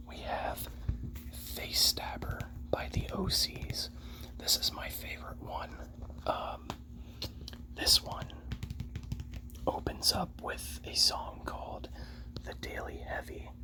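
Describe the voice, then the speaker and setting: Very slow whispering broken by long, frequent pauses, with noticeable background noise. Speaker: ASMR creator. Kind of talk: ASMR soft spoken. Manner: soft-spoken.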